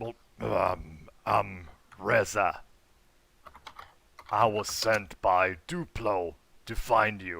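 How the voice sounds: A man speaks in a put-on character voice, raspy and fairly low in pitch. He goes very slowly, with long, frequent pauses.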